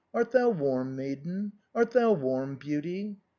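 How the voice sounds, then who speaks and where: Delivered at a fairly slow pace, the put-on character voice holds a middle pitch. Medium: read story.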